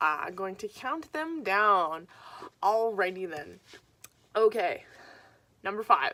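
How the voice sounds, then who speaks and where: A woman talks at a very slow pace. Her tone is bright and sharp, her pitch medium. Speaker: vlogger and writer. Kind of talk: casual vlog monologue. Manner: hesitant, many fillers.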